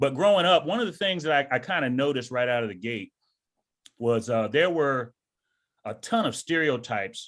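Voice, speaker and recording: With a plain, everyday voice, a man with an American accent talks at a fairly quick pace, medium in pitch and lively in intonation, on a very clean recording with a silent background. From US South. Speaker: retired army sergeant major and author. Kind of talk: interview.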